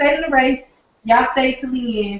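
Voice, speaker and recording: An animated voice with a Southern US accent at a moderate pace. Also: woman. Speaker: online marketing trainer. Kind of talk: live webinar training. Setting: live stream from home office.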